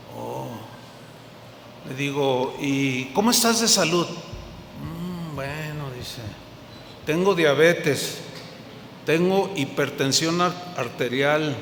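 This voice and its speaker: With audible room echo and noticeable background noise, a man with a fairly high voice speaks very slowly, leaving long, frequent pauses, his loudness swinging widely while his pitch varies in an ordinary way. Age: old. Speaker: pastor. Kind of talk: sermon.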